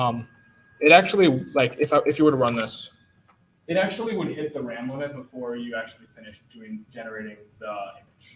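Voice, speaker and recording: A man talks at a fairly quick pace and medium pitch with lively intonation. His loudness swings widely. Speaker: student club presenter. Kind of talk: lecture. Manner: fast; halting, many fillers.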